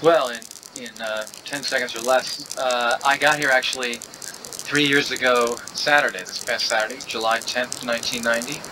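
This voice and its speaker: Man at medium pitch and moderate pace, fairly even intonation, big swings in loudness, noticeable background noise. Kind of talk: interview. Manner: soft-spoken.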